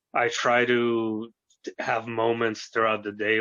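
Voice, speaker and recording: A medium-pitched man in an American accent, at a fairly slow pace. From US, New York City and Arizona. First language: Russian. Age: 30s. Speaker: youtuber, paranormal experiencer. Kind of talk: interview.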